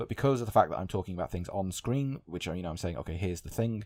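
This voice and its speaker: In a very clean recording with a silent background, a man speaks very fast in a dark, mellow tone with lively intonation. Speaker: gaming podcaster. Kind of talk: casual podcast commentary. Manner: some stuttering and pauses.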